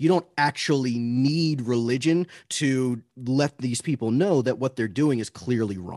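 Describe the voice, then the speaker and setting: A plain, everyday voice speaks at a fairly slow pace with ordinary pitch variation. The sound is dry and close with no echo. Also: man, medium pitch for a man. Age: 30s. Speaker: anti-abortion debater. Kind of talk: casual interview.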